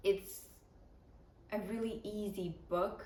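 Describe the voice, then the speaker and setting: A woman with a Ukrainian accent speaks in a somewhat breathy, medium-pitched voice with monotone, flat intonation. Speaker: book vlogger. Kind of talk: casual vlog talk to camera.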